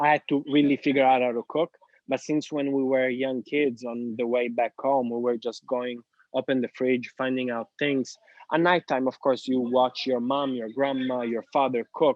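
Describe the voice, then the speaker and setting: At a moderate pace, a man with an Italian accent speaks at medium pitch in a monotone, flat intonation. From Sicily, Italy. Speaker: real estate agent. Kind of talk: podcast interview.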